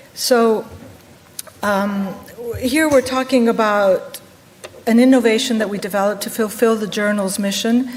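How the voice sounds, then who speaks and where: Amid audible room echo and noticeable background noise, a woman talks at a moderate pace with ordinary pitch variation. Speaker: medical journal editor and professor. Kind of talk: conference presentation.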